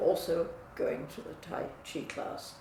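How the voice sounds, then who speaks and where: Speech comes at a very slow pace amid noticeable background noise and audible room echo. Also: woman. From England. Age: 90s. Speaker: client giving testimonial. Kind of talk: testimony.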